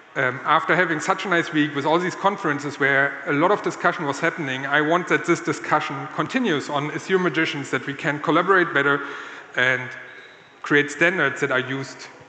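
A man talks at a fairly quick pace amid light background noise and audible room echo. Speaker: conference speaker. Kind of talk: conference talk. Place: stage. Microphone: handheld.

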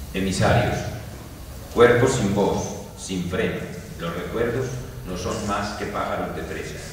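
Very slowly and with long, frequent pauses, a man speaks at a fairly low pitch with ordinary pitch variation, strong room echo and light background noise. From Colombia. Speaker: poet. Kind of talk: poetry reading. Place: hall. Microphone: camera far.

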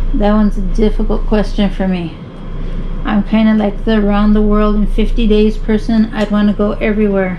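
Over light background noise, the voice stays monotone and flat. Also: woman, fairly high pitch for a woman, moderate pace. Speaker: YouTube vlogger. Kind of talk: casual Q&A chat, reading questions. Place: home room. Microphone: camera far.

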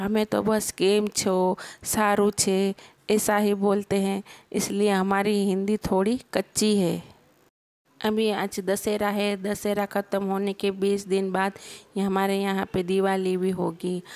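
In a Gujarati accent, the speaker talks at a very slow pace with monotone, flat intonation and very even loudness. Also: woman, medium pitch for a woman. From Gujarat, India. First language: Gujarati (speaking Hindi). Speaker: vlogger. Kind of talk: travel vlog narration; casual vlog narration. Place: waterside.

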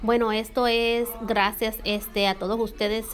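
This woman speaks at a fairly high pitch in a monotone, flat intonation. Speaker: YouTuber reviewing beauty products. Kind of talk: casual product review vlog.

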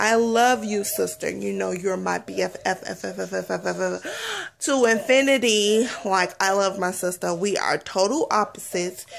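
Over faint background noise, a woman speaks at medium pitch and a moderate pace in a playful tone, with vocal fry, few pauses and ordinary pitch variation.

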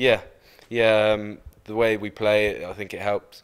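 Speaking at a fairly slow pace, a man has a fairly low pitch with little pitch movement. His tone is clear and smooth.

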